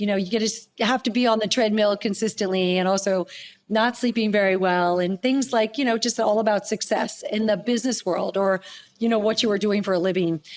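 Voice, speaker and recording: Using an unremarkable speaking voice, a woman talks at a fairly quick pace with medium pitch, fairly even intonation and very even loudness. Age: 60s. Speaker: holistic nutritionist. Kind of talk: interview conversation. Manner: casual, conversational.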